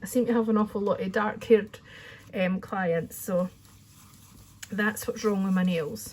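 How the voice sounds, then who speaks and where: A woman with a Scottish accent speaks at a medium pitch and a moderate pace, with fairly even intonation and long, frequent pauses. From Scotland. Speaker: crafting channel host, hairdresser. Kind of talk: tutorial. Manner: chatty, informal.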